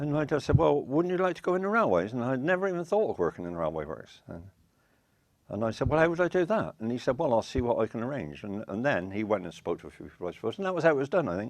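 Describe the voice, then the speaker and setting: A man with a Wiltshire accent speaks at a very fast pace in a medium pitch, his voice swinging very widely up and down against a quiet background. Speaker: retired railway worker. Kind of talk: oral history interview. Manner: halting.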